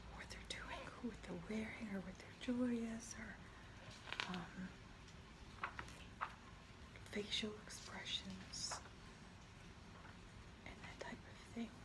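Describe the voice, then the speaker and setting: Whispering at a very slow pace in a relaxed tone, a woman leaves long, frequent pauses with big swings in loudness amid noticeable background noise. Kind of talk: ASMR soft spoken talk to camera. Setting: studio, rain in the background. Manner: soft-spoken, slow, relaxed.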